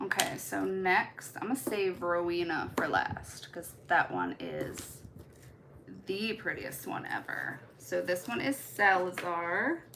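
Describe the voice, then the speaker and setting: A woman with a slight Baltimore accent talks at a very slow pace. Noticeable background noise is present. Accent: slight Baltimore twang. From US Midwest. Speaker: nail art content creator. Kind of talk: live stream tutorial chat. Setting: live stream. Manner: casual, chatty.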